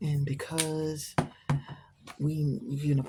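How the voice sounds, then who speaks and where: Noticeable background noise beneath a woman speaking in a fairly low register. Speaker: amateur painter and writer. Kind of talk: casual painting tutorial. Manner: whispering at times; casual, hesitant.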